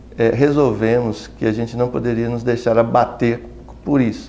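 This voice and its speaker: A man at a medium pitch talks at a moderate pace with fairly even intonation, and the room echo is audible. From Brazil, Minas Gerais (Belo Horizonte). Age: 60s. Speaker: pediatrician and academic. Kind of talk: interview testimony. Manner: halting, with fillers.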